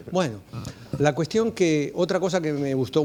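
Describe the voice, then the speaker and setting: A fairly high-pitched man with an Argentine accent. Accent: Argentine (La Plata). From Argentina (La Plata). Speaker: clinical geneticist. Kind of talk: conference talk. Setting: auditorium with audience. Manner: hesitant, many fillers.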